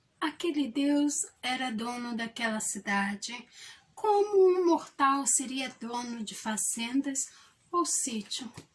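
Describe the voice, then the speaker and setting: Very slowly, a woman speaks in a high pitch with very wide pitch swings. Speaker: actress and storyteller. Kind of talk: short story narration.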